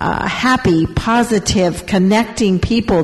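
Noticeable background noise sits behind a woman who speaks at a fairly slow pace with fairly even intonation. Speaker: mayor. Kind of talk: panel discussion.

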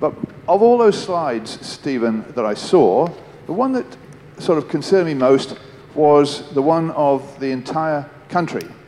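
With noticeable background noise behind him, a man with a fairly high voice talks fairly slowly and with lively intonation. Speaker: audience member asking a question. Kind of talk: audience question.

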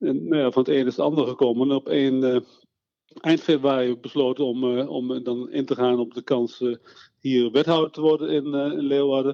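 Speaking at a moderate pace, a man uses a normal speaking voice, his pitch medium and his intonation fairly even. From Netherlands, Veluwe (Eerbeek). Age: 60s. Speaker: local politician. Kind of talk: interview. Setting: phone call.

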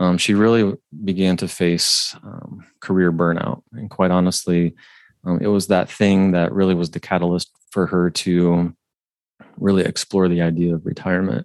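A man with a Midwestern accent talks at a moderate pace in a very deep, low pitch. The sound is dry and close, without echo. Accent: general Midwestern American. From Ohio, US Midwest. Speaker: financial planner, author. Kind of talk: interview conversation. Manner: halting, many fillers.

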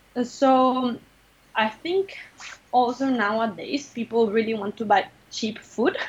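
With lively intonation and a high pitch, a woman speaks at a fairly slow pace, pausing long and often. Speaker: nonprofit project manager. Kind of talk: interview. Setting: video call. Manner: animated.

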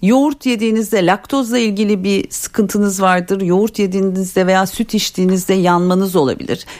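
A woman's a normal speaking voice, medium in pitch with ordinary pitch variation, fairly quick with hardly any pauses and very even loudness. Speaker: dietitian. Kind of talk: call-in health advice. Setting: radio studio.

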